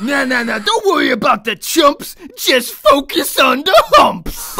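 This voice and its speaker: A man projects his voice at an extremely high pitch and a fairly slow pace. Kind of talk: comic overacting. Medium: machinima. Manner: crude, bro-ish, excitable, rambling.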